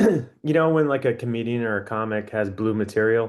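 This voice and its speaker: A man with an ordinary speaking voice talks fairly slowly, with ordinary pitch variation. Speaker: podcast host. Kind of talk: casual podcast conversation.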